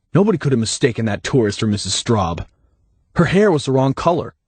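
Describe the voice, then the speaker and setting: A man puts on a growling character voice at a medium pitch, talking very fast with very wide pitch swings over a quiet background. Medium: read story. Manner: guarded, smirking.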